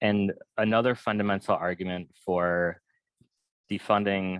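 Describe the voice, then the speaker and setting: Against a quiet background, with a dry, close sound and no echo, a man speaks fairly slowly at a very deep, low pitch with ordinary pitch variation. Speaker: panel presenter, abolition advocate. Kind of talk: webinar panel talk.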